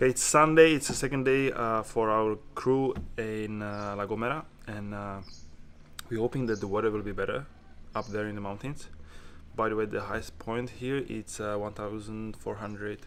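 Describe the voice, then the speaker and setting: A man speaks with a non-native accent at a fairly low pitch. His pace is moderate and his intonation fairly even. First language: not English. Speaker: motorcycle tour vlogger. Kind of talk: casual travel vlog narration. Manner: halting, with many fillers.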